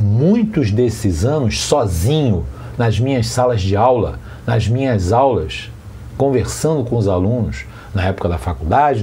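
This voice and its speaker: Amid audible room echo and noticeable background noise, a man with a fairly low pitch talks at a fairly slow pace, with very wide pitch swings. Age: 60s. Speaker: teacher and monarchist commentator. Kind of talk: monologue rant. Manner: animated.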